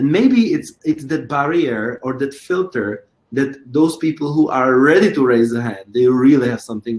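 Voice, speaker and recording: A man with a Czech accent at a fairly slow pace. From Czech Republic. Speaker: choreographer and creator. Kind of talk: interview. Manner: halting, frequent repetitions.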